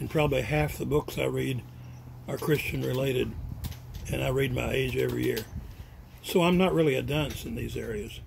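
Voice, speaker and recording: A man talks at a fairly quick pace but leaves long, frequent pauses. Audible room echo surrounds his voice. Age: 80s+. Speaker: retired college president. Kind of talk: family speech. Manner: halting.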